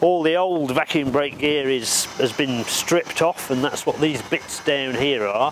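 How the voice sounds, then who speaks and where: A man's voice with fairly even intonation, a dry sound with no echo, and noticeable background noise. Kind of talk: explanatory walkthrough. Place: open country. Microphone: lapel.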